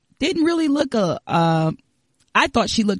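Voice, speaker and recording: This is a woman speaking at a moderate pace. Her voice is somewhat breathy. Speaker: podcast producer and moderator. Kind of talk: casual chat.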